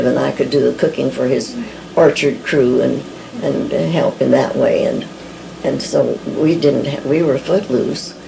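Noticeable background noise runs under this recording. A woman speaks at a fairly slow pace. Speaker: early church member recalling missions. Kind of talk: oral history interview answer. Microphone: old recording.

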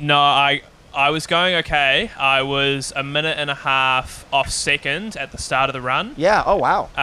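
The speaker is a man. He talks rather unhurriedly, his pitch moving in a normal way. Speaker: interviewee. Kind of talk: interview answer. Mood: relaxed, reflective on race. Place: waterside. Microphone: handheld.

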